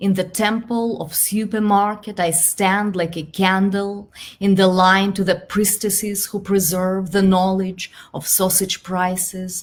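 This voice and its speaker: Over a silent background in a very clean recording, a woman speaks at a medium pitch with a Belarusian accent. Her voice is somewhat breathy, with fairly even intonation at a fairly slow pace. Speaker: poet. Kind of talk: poetry reading.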